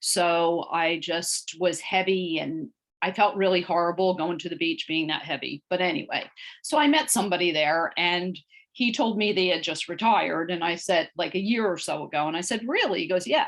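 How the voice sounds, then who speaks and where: In an unremarkable speaking voice, a woman talks at a moderate pace. Her pitch is fairly low, with ordinary pitch variation. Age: 60s. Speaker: weight loss client. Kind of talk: interview.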